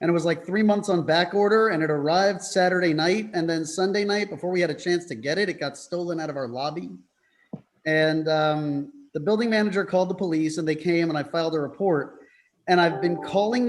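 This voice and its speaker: High-pitched and fairly quick, a man talks with an American accent. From US Northeast, New York City. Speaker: public commenter. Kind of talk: public comment at meeting. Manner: halting.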